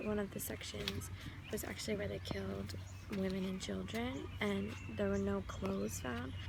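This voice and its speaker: A soft-spoken woman with a very deep, low pitch talks at a moderate pace with very even loudness and fairly even intonation, with audible room echo. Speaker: travel vlogger. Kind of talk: travel vlog narration.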